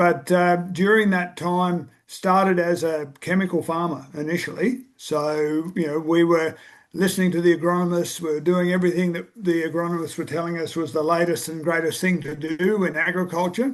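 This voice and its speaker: A man with a high pitch and an Australian accent speaks at a moderate pace with fairly even intonation and hardly any pauses, against a quiet background. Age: 60s. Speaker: farmer. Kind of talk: casual chat.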